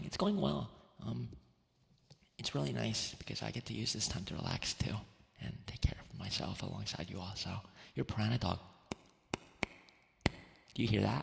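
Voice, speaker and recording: A man speaks with a very deep, low pitch and vocal fry, leaving long, frequent pauses. His pitch swings very widely. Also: moderate pace. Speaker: VTuber and ASMR streamer. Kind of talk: ASMR livestream talking with chat. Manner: soft-spoken, gentle, friendly.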